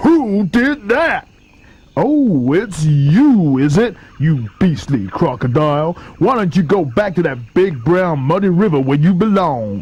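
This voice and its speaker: A man puts on a high-pitched character voice. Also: fairly slow pace. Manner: indignant, scolding.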